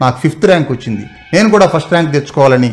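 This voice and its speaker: A man speaks with lively intonation and a somewhat breathy voice. The background is quiet. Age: 30s. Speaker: YouTube motivational talker. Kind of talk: motivational monologue. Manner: halting. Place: home room. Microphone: camera far.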